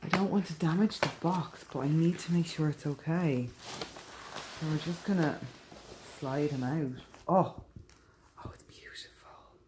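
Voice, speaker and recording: A woman with a very deep, low voice speaks with long, frequent pauses and big swings in loudness amid noticeable background noise. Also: ordinary pitch variation, moderate pace. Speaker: vlogger. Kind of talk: casual vlog.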